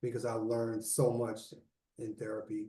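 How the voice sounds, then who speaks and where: A man with a dark, mellow, somewhat breathy voice speaks at a moderate pace. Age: 60s. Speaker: author and mental health mentor. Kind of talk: interview.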